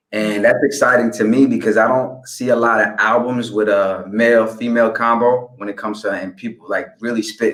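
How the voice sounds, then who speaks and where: Music plays behind a man speaking fairly quickly at a medium pitch, his intonation monotone and flat. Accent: New York. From DC / Maryland area, US, raised by family of African background. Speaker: rapper. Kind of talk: interview. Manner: hesitant, many fillers and repeated words.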